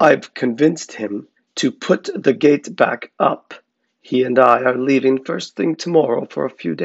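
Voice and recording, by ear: Someone is reading aloud in a natural voice with ordinary pitch variation, and the background is quiet.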